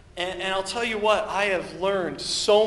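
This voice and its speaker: Here a man talks at a moderate pace. Noticeable background noise and audible room echo fill the recording. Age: 30s. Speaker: pastor. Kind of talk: sermon. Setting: church.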